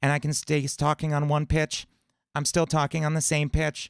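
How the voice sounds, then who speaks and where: A man puts on a character voice at a fairly high pitch with monotone, flat intonation. The recording is very clean, with a silent background. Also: moderate pace. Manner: demonstrating steady pitch.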